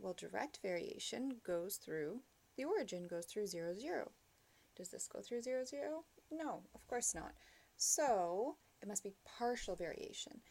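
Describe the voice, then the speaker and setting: A woman with a dark, mellow tone speaks with very wide pitch swings. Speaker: math teacher. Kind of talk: lecture. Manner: slow.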